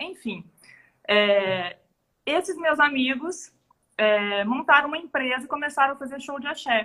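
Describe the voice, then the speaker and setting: This woman's high voice moves at a moderate pace with ordinary pitch variation. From Belo Horizonte, Brazil. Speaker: show business entrepreneur. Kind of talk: casual interview.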